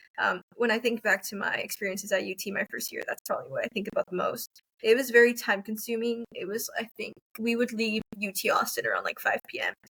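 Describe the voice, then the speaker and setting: A woman talks at a very fast pace in a dry, close sound with no echo. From Texas, Rio Grande Valley. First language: Spanish. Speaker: university student. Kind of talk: interview.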